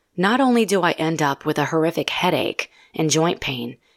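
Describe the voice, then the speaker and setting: Fairly low-pitched female speech at a moderate pace, dry and close with no echo, on a very clean recording with a silent background. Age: 40s. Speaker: nurse practitioner and podcast host. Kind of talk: educational monologue.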